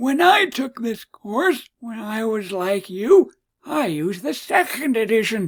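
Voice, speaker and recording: The speaker puts on a character voice, fairly slow and fairly high in pitch. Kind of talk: grandfatherly lecturing.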